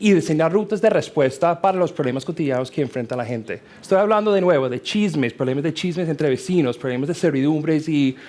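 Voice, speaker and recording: Lively intonation marks a man's fairly high-pitched voice. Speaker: security researcher on expert panel. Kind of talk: panel discussion. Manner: halting, many fillers.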